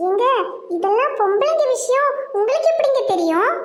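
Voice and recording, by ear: This is a cartoonish character voice. It is extremely high in pitch. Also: moderate pace.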